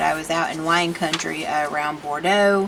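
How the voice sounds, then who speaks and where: With a Southern US accent, a woman speaks at a moderate pace and fairly low pitch with fairly even intonation, amid audible room echo and noticeable background noise. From Tennessee, US South. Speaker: art video creator. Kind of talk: casual chat. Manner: chatty, rambling conversational.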